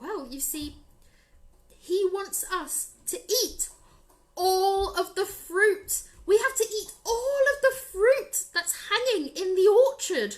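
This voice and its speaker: A put-on character voice with an extremely high pitch and a nervous tone. It moves at a very slow pace. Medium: read story. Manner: nervous, fretful.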